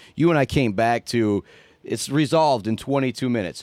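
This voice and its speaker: A man's medium-pitched voice with ordinary pitch variation, dry and close with no echo, on a very clean recording with a silent background. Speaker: radio station staffer and sports announcer. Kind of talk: casual chat.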